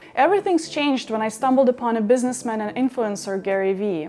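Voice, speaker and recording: A woman with a slight Russian accent and lively intonation. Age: 30s. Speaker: content creator. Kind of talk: personal advice talk.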